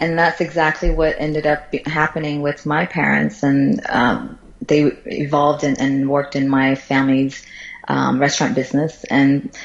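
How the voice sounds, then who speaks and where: A woman's very deep, low voice with an American accent, moderate pace and very even loudness, over noticeable background noise. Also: ordinary pitch variation. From Florida, US (born in China). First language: Chinese. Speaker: tech company CEO. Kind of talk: interview.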